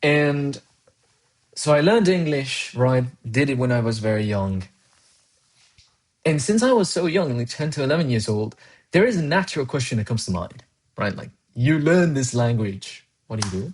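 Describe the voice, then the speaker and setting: Somewhat breathy speech moves at a moderate pace with very wide pitch swings and long, frequent pauses against a quiet background. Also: man, fairly high pitch for a man. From Colombia. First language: Spanish. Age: 20s. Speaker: programming streamer. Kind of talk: casual live-stream chat.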